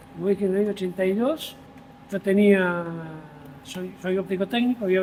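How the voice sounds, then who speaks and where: A man speaks in a high voice at a moderate pace. Noticeable background noise runs under the recording. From Buenos Aires, Argentina (Palermo). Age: 60s. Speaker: volunteer firefighter. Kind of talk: interview conversation. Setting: fire station.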